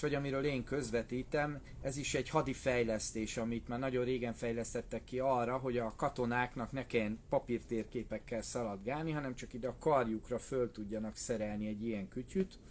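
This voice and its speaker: Hardly pausing at all, a man speaks at a moderate pace over light background noise. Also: fairly even intonation. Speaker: martial arts instructor. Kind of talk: opinion monologue in live stream. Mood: earnest, argumentative. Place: tent. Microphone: phone near.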